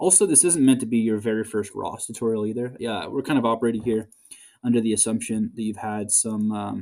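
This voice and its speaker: Over a very clean recording with a silent background, a man talks at a medium pitch. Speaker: graduate research assistant. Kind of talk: tutorial. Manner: hesitant, many fillers.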